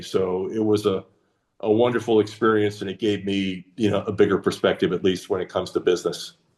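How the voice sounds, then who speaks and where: A man with a fairly low pitch, a plain, everyday voice and fairly even intonation. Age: 60s. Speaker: retired business executive. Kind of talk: casual interview chat. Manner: frequent fillers, um and uh.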